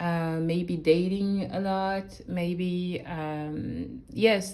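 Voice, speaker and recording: In a room with audible echo, a woman with a French accent speaks at a fairly low pitch in a dark, mellow tone. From France. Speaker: tarot reader. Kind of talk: tarot reading. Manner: halting; casual.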